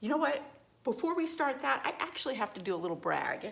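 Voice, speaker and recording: The speaker is a woman. Her intonation is lively. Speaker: psychologist and yoga therapist. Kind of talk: personal testimony vlog. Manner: halting, many fillers.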